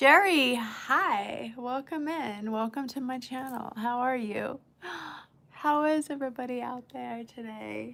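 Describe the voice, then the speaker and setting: A very slow pace in an American accent, with ordinary pitch variation. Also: woman, high pitch for a woman. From California. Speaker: livestreamer. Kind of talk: casual chat.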